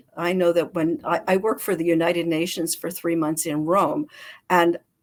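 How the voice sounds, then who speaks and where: A woman with an American accent talks at a fairly low pitch. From US, Baltimore, Maryland. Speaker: public speaking coach. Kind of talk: casual interview chat. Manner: clear, full enunciation.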